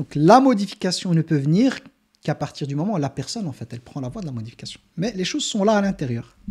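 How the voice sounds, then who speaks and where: Talking at a very fast pace, a man uses a high pitch with very wide pitch swings. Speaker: Islamic teacher. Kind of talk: religious lecture. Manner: loud; halting, with repetitions.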